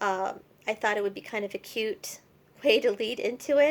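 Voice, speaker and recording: In a plain, everyday voice, a woman with an American accent speaks at a fairly slow pace and fairly high pitch with ordinary pitch variation, in a very clean recording with a silent background. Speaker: poet. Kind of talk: introducing poems to camera.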